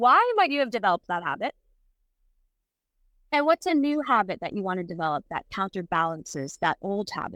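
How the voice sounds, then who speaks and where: A woman speaks loudly and fairly quickly in a bright, sharp tone with very wide pitch swings and long, frequent pauses, on a very clean recording with a silent background and a dry, close sound with no echo. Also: medium pitch for a woman. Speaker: presence coach, co-host. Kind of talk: casual chat.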